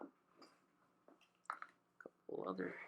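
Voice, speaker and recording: The voice is soft-spoken with a relaxed tone. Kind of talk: ASMR unboxing, casual talk to camera. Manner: soft-spoken, relaxed.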